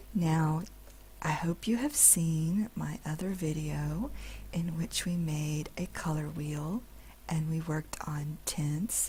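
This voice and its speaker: The speaker is soft-spoken. The delivery comes at a very slow pace. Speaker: digital art instructor. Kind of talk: instructional screen-recorded tutorial narration. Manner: slow, soft-spoken, relaxing.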